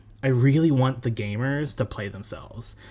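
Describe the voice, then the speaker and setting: Speaking at a fairly slow pace, a man uses a medium pitch and fairly even intonation, his voice somewhat breathy. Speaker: game contestant. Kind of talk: self-introduction video.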